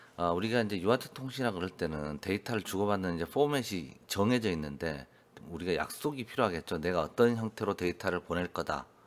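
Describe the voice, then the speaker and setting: A man speaks at a very deep, low pitch on a very clean recording with a silent background. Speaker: electronics instructor. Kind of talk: lecture. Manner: hesitant with fillers.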